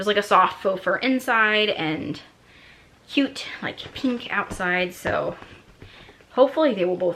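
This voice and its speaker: Noticeable background noise surrounds the recording. A woman speaks with lively intonation. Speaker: lifestyle vlogger. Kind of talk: casual haul video monologue. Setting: at home at night while kids sleep.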